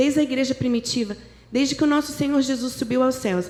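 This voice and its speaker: Her voice sits at a high pitch. This woman's pitch variation stays ordinary. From interior of São Paulo state, Brazil. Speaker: guest preacher. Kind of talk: sermon. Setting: church.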